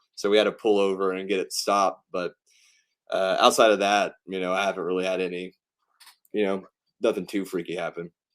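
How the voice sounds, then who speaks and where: With a slight Southern US accent, a man speaks at a very deep, low pitch in a monotone, flat intonation. His pace is fairly quick, broken by long, frequent pauses. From US South, East Tennessee. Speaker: pro wrestler and filmmaker. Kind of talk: interview. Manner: casual, many fillers.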